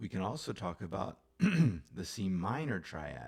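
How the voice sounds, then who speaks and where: A man with a very deep, low pitch and vocal fry swings his pitch very widely. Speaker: music teacher. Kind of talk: music theory lesson. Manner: casual, conversational.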